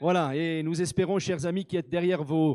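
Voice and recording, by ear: A man is speaking. His tone is slightly mellow.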